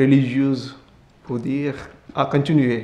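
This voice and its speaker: At a fairly slow pace, a man speaks in a medium-pitched voice with monotone, flat intonation. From India. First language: Indian language (speaking French). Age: 20s. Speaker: Capuchin friar. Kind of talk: testimony interview. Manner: halting.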